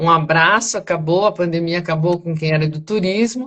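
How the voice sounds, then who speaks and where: An unremarkable speaking voice from a woman, fairly low in pitch, with ordinary pitch variation. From Brazil, São Paulo. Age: 60s. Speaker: retired banker and teacher, property auction investor. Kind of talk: interview on live stream. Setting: live stream.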